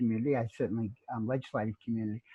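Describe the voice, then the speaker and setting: With an Australian accent, this man talks at a very fast pace in a fairly even intonation. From Melbourne, Australia. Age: 60s. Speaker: author. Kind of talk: interview. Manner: halting.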